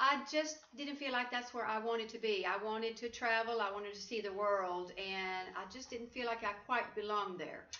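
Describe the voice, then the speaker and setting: A woman's fairly high voice with a bright, sharp tone, ordinary pitch variation, moderate pace and hardly any pauses, in audible room echo. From Sweden. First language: Swedish. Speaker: life coach. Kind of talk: interview. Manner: halting.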